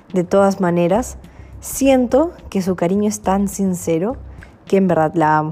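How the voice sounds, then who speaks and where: Her pitch fairly low with ordinary variation, a woman speaks at a fairly slow pace. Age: 20s. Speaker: entrepreneur. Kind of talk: personal introduction monologue.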